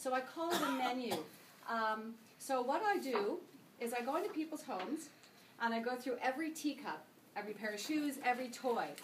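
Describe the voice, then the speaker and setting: A woman with a high pitch speaks at a moderate pace with lively intonation, amid noticeable background noise and audible room echo. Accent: Canadian. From Canada. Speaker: senior move manager. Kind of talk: sales presentation.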